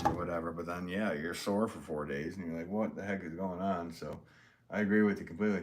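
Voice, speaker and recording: Noticeable background noise and audible room echo surround this recording. A man speaks at a very deep, low pitch with fairly even intonation. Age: 40s. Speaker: potter live-streaming. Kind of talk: casual chat. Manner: halting.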